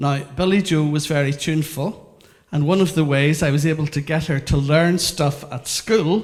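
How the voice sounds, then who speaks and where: At a moderate pace, a man speaks somewhat breathily at a fairly high pitch with ordinary pitch variation. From Northern Ireland, Belfast. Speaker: educational consultant. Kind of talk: interactive workshop talk.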